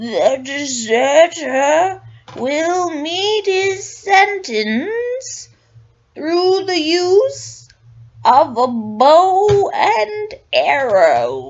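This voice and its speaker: A woman's put-on character voice, extremely high, with very wide pitch swings and a very slow pace. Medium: read story. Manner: stern, formal.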